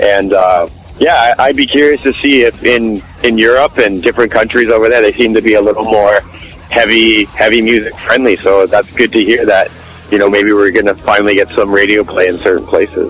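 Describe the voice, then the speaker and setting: The speaker has a Canadian accent and talks at a fairly quick pace with fairly even intonation and very even loudness. Noticeable background noise runs underneath. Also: man, medium pitch for a man. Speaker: rock guitarist. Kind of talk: interview.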